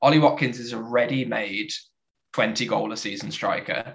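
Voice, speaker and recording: A man speaks in a bright, sharp tone. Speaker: football fan panelist. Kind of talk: casual group chat about football. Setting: video call.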